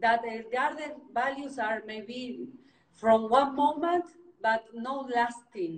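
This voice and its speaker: Speaking very slowly with a non-native accent, a woman uses a high pitch and ordinary pitch variation. Her loudness swings widely. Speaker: interviewer, real estate agent. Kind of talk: interview. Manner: halting, many fillers.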